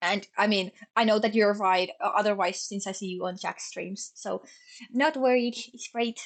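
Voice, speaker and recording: The speaker has a Finnish accent and a moderate pace. Pitch variation is ordinary. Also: woman. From Finland. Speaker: streamer. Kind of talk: casual chat. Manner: stumbles over words.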